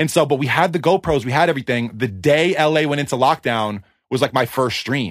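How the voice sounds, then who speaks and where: A man with a fairly high pitch has an unremarkable speaking voice. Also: ordinary pitch variation, fairly quick pace. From US East Coast. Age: 30s. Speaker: music producer. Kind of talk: casual chat. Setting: remote recording.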